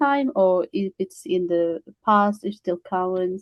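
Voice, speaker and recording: The speaker is a woman. She talks with a Kurdish accent. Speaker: attendee, former legal interpreter. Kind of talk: webinar Q&A. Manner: halting.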